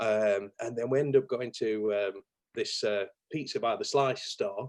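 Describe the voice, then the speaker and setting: A man with a strong Yorkshire accent, medium in pitch, at a fairly slow pace. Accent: thick Yorkshire. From Yorkshire, northern England. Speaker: marketing business owner, chopper enthusiast. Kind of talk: casual chat. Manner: animated.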